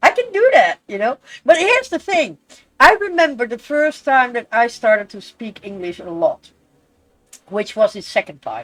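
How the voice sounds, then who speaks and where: The speaker talks at a moderate pace with an animated tone in a Dutch accent. The pitch swings very widely. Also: woman. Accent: Dutch accent when speaking English. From Netherlands. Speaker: streamer. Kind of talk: casual chat.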